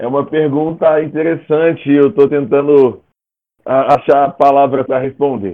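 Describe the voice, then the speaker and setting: A man's fairly high voice at a fairly slow pace. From Brazil, raised in Federal District (born Rio de Janeiro). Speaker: singer-songwriter. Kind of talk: casual chat.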